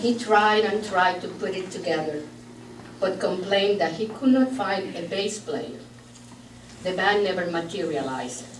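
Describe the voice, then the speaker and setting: Speaking in a Puerto Rican accent, a woman uses lively intonation at a medium pitch and a moderate pace, with audible room echo and noticeable background noise. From Puerto Rico. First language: Spanish. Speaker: bereaved sister giving eulogy. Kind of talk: eulogy read aloud. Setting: memorial gathering in a church.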